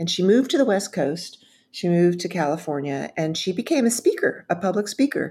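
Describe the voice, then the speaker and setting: A woman's medium-pitched, somewhat breathy voice with an American accent, lively intonation and a fairly quick pace, on a very clean recording with a silent background. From Texas, Dallas. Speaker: speechwriter and public speaking consultant. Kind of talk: interview conversation.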